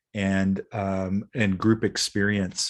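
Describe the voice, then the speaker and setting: A plain, everyday voice from a man with an American accent, fairly low in pitch, at a fairly slow pace against a quiet background. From US Midwest. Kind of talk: interview conversation.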